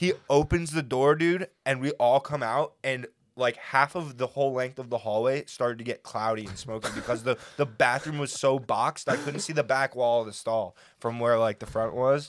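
A man talks in an ordinary speaking voice at a medium pitch and a moderate pace. The sound is dry and close with no echo, and his pitch varies in an ordinary way. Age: 20s. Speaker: recent college graduate, designer. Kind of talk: casual chat.

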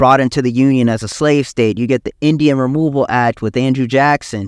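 Recorded very cleanly with a silent background and a dry, close sound with no echo, a man with an American accent uses a normal speaking voice at a medium pitch and a moderate pace. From US South, South Carolina. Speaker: podcast host. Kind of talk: solo educational monologue. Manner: casual with many fillers.

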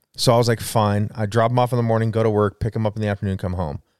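A man speaks with an American accent and fairly even intonation. The recording is very clean, with a silent background. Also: dry, close sound with no echo. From southern Idaho, Wendell and Jerome. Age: 40s. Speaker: podcast co-host. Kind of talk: casual chat.

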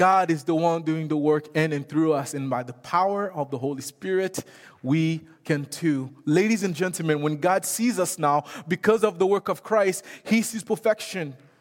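Music plays in the background while a man talks at a moderate pace. His pitch is fairly high, with ordinary variation. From Haiti. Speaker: missions director and guest preacher. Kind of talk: sermon. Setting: church.

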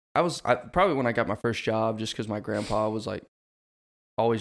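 A man speaks in a normal speaking voice at a medium pitch and fairly quick pace. The recording is very clean, with a silent background. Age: 20s. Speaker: podcast co-host. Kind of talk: casual chat.

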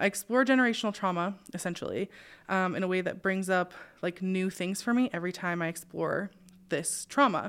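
A normal speaking voice from a woman with an American accent, medium pitch, fairly quick pace and ordinary pitch variation, on a very clean recording with a silent background. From US Pacific Northwest, Spokane. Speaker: podcast host. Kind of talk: interview conversation.

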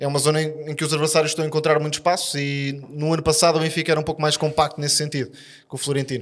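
On a very clean recording with a silent background, a man speaks very fast. His fairly high voice holds a monotone, flat intonation. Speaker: football pundit. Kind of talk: casual chat.

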